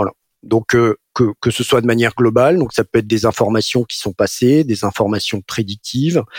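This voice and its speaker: Here a man talks at a moderate pace in a medium pitch with ordinary pitch variation. The sound is dry and close, without echo. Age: 40s. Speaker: part-time CFO and chartered accountant. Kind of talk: interview. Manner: hesitant, many fillers and repetitions.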